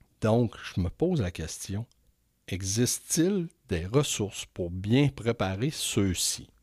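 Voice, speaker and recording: On a very clean recording with a silent background, a man with a Quebec accent speaks very slowly in a fairly low voice with lively intonation. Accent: Québécois French. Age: 50s. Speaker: podcast host. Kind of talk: interview.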